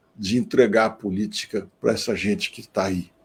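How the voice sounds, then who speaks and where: At a fairly slow pace, a man is speaking. His tone is dark and mellow. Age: 60s. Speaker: politician. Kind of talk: live stream panel talk.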